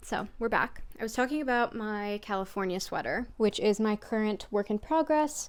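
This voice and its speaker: Hardly pausing, a woman talks at a fairly high pitch with ordinary pitch variation. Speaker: knitting vlogger. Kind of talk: casual vlog talk to camera. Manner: fast; animated.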